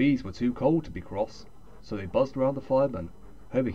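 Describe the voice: The passage is read aloud in a plain manner.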